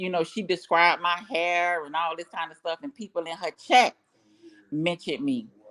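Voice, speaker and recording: Moderately paced speech from a woman, her fairly low voice showing ordinary pitch variation. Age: 40s. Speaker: YouTube live streamer. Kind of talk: casual live stream chat.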